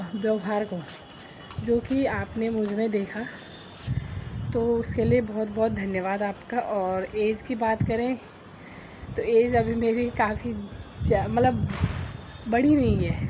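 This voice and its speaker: At a very slow pace, a woman with a fairly high pitch speaks with ordinary pitch variation and long, frequent pauses. Noticeable background noise runs underneath. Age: 20s. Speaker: vlogger. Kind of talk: casual vlog talk. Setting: outdoors on a walk.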